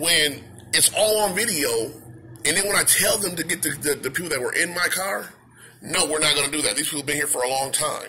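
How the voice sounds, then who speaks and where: With light background noise behind him, a man speaks at a very fast pace. His voice is high, with ordinary pitch variation. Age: adult. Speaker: YouTuber. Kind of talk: vlog rant. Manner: animated; halting. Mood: upset, indignant. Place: shop. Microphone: phone near.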